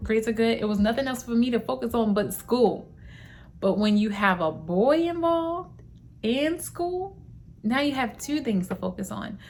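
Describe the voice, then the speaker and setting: A woman speaks at a moderate pace in an ordinary speaking voice, her fairly high pitch carried by lively intonation. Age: 20s. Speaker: lifestyle vlogger. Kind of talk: casual vlog monologue. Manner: conversational.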